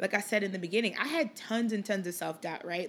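At a fairly quick pace, a woman speaks in a plain, everyday voice of medium pitch with ordinary pitch variation. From Liberia, moved to Chicago at eight. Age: 30s. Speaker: podcast host, sports marketing executive. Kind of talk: casual monologue. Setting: home recording in apartment.

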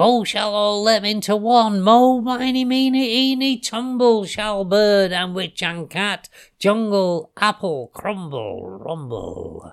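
A man puts on a character voice, pitched high with a clear, smooth tone and some vocal fry. He speaks at a slow pace with lively intonation and few pauses.

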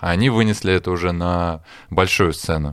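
A man speaks in a normal speaking voice at a fairly slow pace, with lively intonation. The recording is very clean, with a silent background. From Russia, Smolensk. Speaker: session drummer. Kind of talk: casual chat. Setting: studio.

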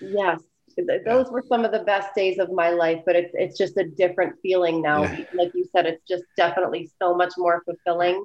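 A woman's normal speaking voice at very even loudness. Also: medium pitch for a woman, fairly even intonation, moderate pace. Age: 40s. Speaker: spray tanning business owner. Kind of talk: casual interview.

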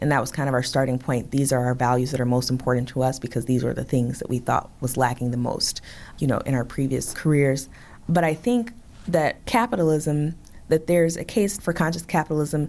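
A woman talks at a fairly quick pace with lively intonation in a very clean recording with a silent background. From Chicago south side. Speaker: bakery owner. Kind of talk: interview.

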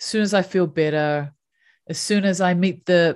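Against a quiet background, a woman with a New Zealand accent speaks at a fairly low pitch. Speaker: happiness coach. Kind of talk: interview conversation.

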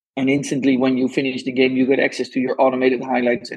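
A man with a Dutch accent, medium pitch and a fairly quick pace. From Netherlands. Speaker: venture capital investor, former footballer. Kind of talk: interview conversation. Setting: remote call. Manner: enthusiastic.

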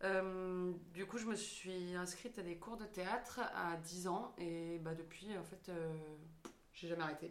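A woman at medium pitch talks at a very slow pace with fairly even intonation, with audible room echo and noticeable background noise around her. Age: 20s. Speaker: stage actress. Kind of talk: casual chat.

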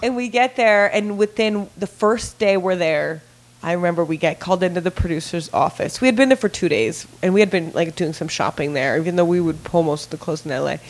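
The speaker is a woman with a fairly low pitch. Noticeable background noise sits behind her. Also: hardly any pauses. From Italy, raised in Los Angeles from about age 11. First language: Italian. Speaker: celebrity stylist. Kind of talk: casual chat. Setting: studio. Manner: animated.

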